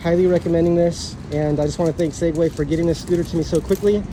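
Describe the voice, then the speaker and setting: Very fast, monotone speech from a man at a high pitch, with flat intonation over noticeable background noise. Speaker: scooter reviewer. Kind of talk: unboxing video.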